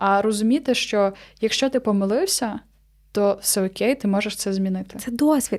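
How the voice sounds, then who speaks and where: A woman's normal speaking voice, fairly high-pitched, at a moderate pace with ordinary pitch variation. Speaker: podcast host. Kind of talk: casual chat.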